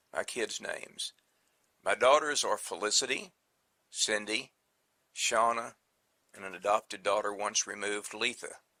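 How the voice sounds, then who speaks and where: A man with a Texan accent, at a moderate pace with long, frequent pauses. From Texas (Brownwood). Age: 60s. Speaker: interviewee. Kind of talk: casual interview. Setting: sound check.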